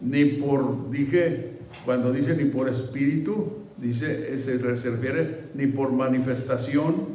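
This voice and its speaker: A man speaks at a very slow pace with a fairly high pitch. Noticeable background noise and audible room echo are present. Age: 70s. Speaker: pastor. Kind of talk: sermon. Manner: halting.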